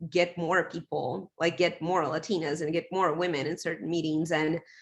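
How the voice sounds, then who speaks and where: A woman with a non-native accent speaks at a fairly low pitch. Her intonation is fairly even, over a quiet background. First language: not English. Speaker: tech professional, panelist. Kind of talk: panel discussion.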